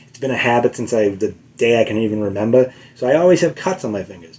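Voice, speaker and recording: The man speaks in a Boston accent. His tone is dark and mellow, with ordinary pitch variation. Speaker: guitar teacher. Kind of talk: tutorial. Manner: halting, many fillers; casual.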